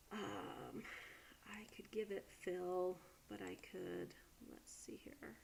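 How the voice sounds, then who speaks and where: Whispering at a very slow pace, a woman lets her loudness swing a great deal. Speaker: college instructor. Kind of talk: tutorial. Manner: casual with many fillers.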